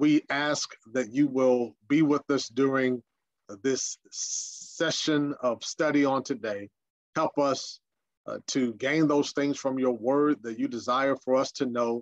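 Against a quiet background, a man speaks at a very slow pace with fairly even intonation. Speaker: senior minister. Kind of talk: prayer and Bible study lecture. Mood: calm, reverent. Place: home room.

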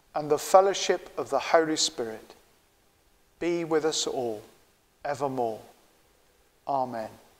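A man talks at a slow pace with lively intonation and a fairly high pitch.

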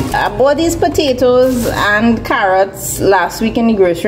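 A woman speaks with music in the background. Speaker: home cook vlogger. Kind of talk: casual vlog chat. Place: kitchen. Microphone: phone near.

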